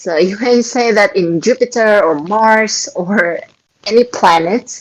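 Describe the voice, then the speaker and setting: Lively intonation in an Indonesian accent. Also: woman. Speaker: Quran study host. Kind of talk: religious study talk. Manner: halting.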